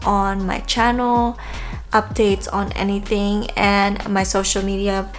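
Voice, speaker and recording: Someone speaks at a fairly slow pace with music playing in the background. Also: woman. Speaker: beauty vlogger. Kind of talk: makeup tutorial. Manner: casual, hesitant with fillers.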